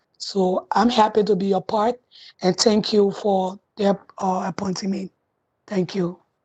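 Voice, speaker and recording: A woman speaks at a fairly slow pace in a medium pitch, somewhat breathy. Her intonation is flat and monotone, and the sound is dry and close with no echo. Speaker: community advisory committee member. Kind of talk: meeting self-introduction. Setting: video call.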